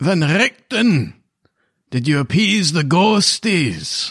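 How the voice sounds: A man uses a put-on character voice, pitched high and delivered at a very slow pace.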